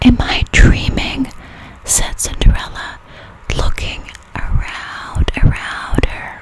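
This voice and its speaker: Very slow whispering from a woman, with noticeable background noise behind it. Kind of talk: ASMR story reading for sleep. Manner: whispered, soft-spoken.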